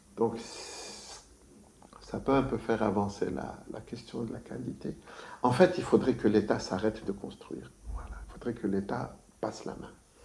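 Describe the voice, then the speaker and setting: Long, frequent pauses break up a man's moderately paced speech, his fairly low voice dark and mellow, with vocal fry and big swings in loudness. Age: 60s. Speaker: architect. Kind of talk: interview. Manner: hesitant, many fillers.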